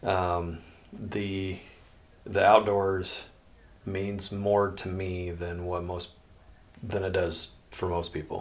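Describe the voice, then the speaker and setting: The speaker has a Midwestern US accent and talks very slowly with long, frequent pauses. The intonation is monotone and flat. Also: man, very deep, low pitch for a man. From Iowa. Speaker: veteran and outdoorsman. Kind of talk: casual chat.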